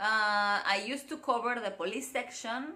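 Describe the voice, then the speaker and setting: A woman with a Spanish accent speaks at a high pitch in a bright, sharp tone with ordinary pitch variation. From Mexico (Mérida, Yucatán; then Guadalajara). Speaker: vlogger. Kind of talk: casual vlog monologue.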